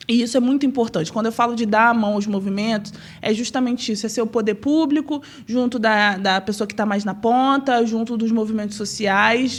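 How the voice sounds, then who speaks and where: Fairly quick and somewhat breathy, a woman's voice runs fairly high in pitch with fairly even intonation. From Rio de Janeiro state, Brazil (Nova Friburgo). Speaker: city councillor. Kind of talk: interview.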